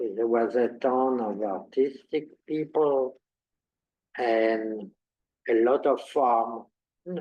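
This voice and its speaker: With a French accent, a man speaks at a medium pitch with ordinary pitch variation. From France, near Paris. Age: 80s+. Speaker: Holocaust survivor. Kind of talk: interview.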